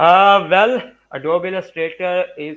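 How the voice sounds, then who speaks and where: This is a man speaking. He has a Punjabi accent. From Pakistan, Punjab. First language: Urdu or Punjabi. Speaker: graphic design and public speaking expert. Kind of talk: interview. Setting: live stream. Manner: halting, frequent uh fillers.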